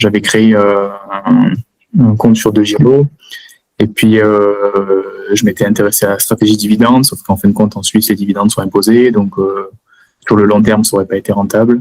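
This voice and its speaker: A man talks at a fairly quick clip in a fairly low, flat, monotone voice, breaking often for long pauses. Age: 30s. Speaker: engineer, student of an investing course. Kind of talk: testimony interview. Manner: hesitant, many fillers; casual.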